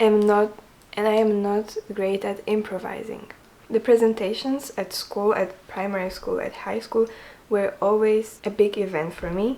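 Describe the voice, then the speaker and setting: A soft-spoken woman talks at a fairly slow pace and a fairly high pitch, her intonation fairly even. Noticeable background noise runs underneath. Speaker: knitting vlogger, student. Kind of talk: casual chat. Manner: quiet, soft-spoken.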